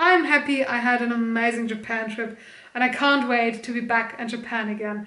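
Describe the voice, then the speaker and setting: In a room with audible echo, a woman with a German accent speaks at a moderate pace, fairly high in pitch, with fairly even intonation. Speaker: streamer and video creator. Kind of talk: casual haul video chat.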